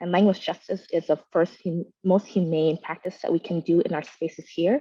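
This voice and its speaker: A woman speaks with a Vietnamese accent at a fairly low pitch. Her pace is fairly quick and her intonation fairly even. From Vietnamese household, US. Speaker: movement leader, panelist. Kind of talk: panel discussion. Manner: fast.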